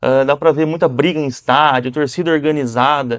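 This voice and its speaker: At a moderate pace, a man with a fairly high pitch uses an unremarkable speaking voice on a very clean recording with a silent background. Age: 30s. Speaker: business owner, jiu-jitsu student. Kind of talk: casual interview.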